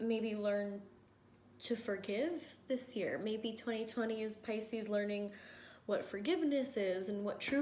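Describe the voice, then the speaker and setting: There is audible room echo around the voice. A woman speaks with ordinary pitch variation. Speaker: tarot reader. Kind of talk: tarot reading. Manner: slow; rambling, thinking aloud.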